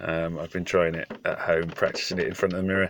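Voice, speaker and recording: Against noticeable background noise, a man with a very deep, low pitch speaks at a moderate pace. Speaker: farmer, video presenter.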